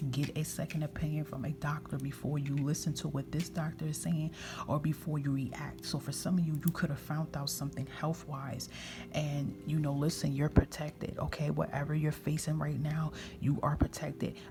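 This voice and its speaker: Over music in the background, a woman whispers in a soft-spoken way. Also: moderate pace. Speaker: tarot reader. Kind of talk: tarot reading, intuitive guidance to camera. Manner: soft-spoken, whispering (ASMR style).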